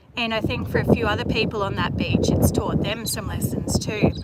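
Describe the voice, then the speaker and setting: The speaker keeps a moderate pace over noticeable background noise. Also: woman. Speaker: travel vlogger. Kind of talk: live stream chat. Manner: casual, chatty.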